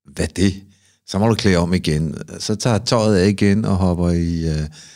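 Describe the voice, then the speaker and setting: A man with a plain, everyday voice speaks at a fairly slow pace in a fairly low pitch with fairly even intonation. The recording is very clean, with a silent background. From Copenhagen, Amager. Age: 50s. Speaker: sauna ritual performer. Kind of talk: casual interview chat.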